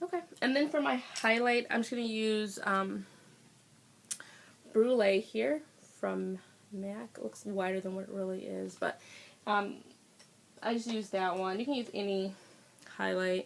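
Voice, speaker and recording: Long, frequent pauses break up the speech of a woman with a medium pitch. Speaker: beauty vlogger. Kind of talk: tutorial. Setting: home filming on iPad. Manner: casual, chatty; loud. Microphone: iPad built-in mic, may sound quiet.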